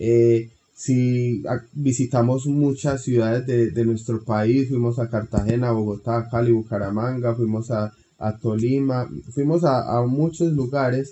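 The speaker is somewhat breathy, with a fairly slow pace and fairly even intonation. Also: man, medium pitch for a man. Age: 30s. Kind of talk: casual interview.

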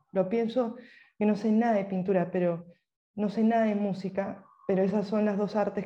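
A woman's dark, mellow, somewhat breathy voice at medium pitch, monotone and flat, at a moderate pace. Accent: Peruvian. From Peru. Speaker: writer. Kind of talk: interview.

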